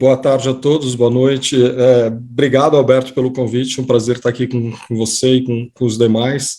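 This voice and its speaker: In a normal speaking voice, this man keeps to a moderate pace. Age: 50s. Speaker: economist. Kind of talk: casual chat. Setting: video call.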